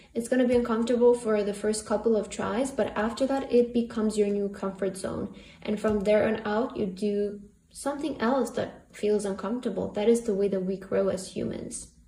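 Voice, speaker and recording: A woman with a fairly high pitch and fairly even intonation speaks at a fairly quick pace amid noticeable background noise. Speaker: tarot reader. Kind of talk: tarot reading. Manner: casual, filler-heavy; stuttering at times.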